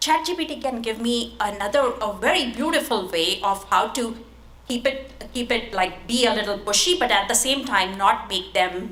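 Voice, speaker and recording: A woman speaks with a non-native accent, a fairly high pitch and lively intonation. Audible room echo and noticeable background noise fill the recording. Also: moderate pace. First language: not English. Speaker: tech product leader, conference panelist. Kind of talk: conference panel talk. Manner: halting, many fillers.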